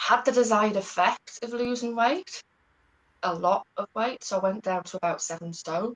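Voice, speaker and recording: Speaking with a slight Geordie accent, a woman with a fairly high pitch and ordinary pitch variation talks at a moderate pace in a dry, close sound with no echo. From northern England, Newcastle. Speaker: hormone and gut health practitioner. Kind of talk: interview, life story. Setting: live stream.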